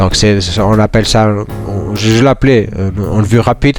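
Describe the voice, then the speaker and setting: With music in the background, a man with a Portuguese accent speaks at a moderate pace, his fairly low pitch following a fairly even intonation. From Portugal. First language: Portuguese (speaking French). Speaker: software tutorial presenter. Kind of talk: tutorial. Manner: halting, many fillers and repetitions; casual.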